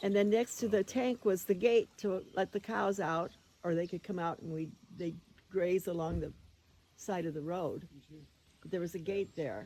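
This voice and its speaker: Speaking with an American accent, a woman has a dark, mellow tone and a medium pitch. She keeps a moderate pace with ordinary pitch variation and long, frequent pauses. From US Midwest (Iowa). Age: 80s+. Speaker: elderly woman reminiscing about childhood farm home. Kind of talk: casual chat.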